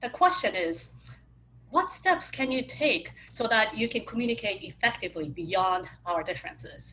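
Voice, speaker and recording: A woman speaks at a moderate pace with a fairly high pitch. Her pitch swings very widely, with a slight Japanese accent. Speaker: cross-cultural communication speaker. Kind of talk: webinar talk.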